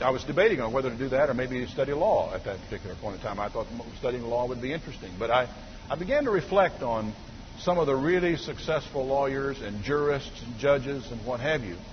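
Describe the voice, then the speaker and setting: A man talks at a very fast pace with lively intonation and a medium pitch. There is audible room echo and noticeable background noise. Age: 50s. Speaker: pastor. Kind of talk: sermon.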